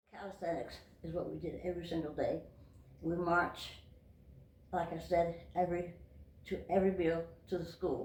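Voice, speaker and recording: A woman with an American accent and fairly low pitch, at a moderate pace, with monotone, flat intonation and long, frequent pauses. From Massachusetts. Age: 80s+. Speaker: World War II veteran. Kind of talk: interview answer.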